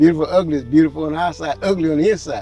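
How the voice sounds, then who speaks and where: A man talks at a very fast pace with a fairly high pitch. Music plays in the background. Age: 60s. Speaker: interviewee. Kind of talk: interview.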